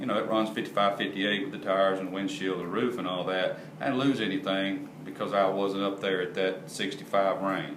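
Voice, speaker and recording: A man's fairly low, fairly even voice at a fairly quick pace, with noticeable background noise and audible room echo. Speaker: parts manufacturer explaining product. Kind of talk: product explanation tutorial. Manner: casual, repetitive.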